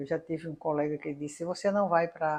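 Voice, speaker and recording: In a fairly low voice, a woman talks at a moderate pace. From Paraíba, Brazil. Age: 60s. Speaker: engineering professor. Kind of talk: interview. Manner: halting.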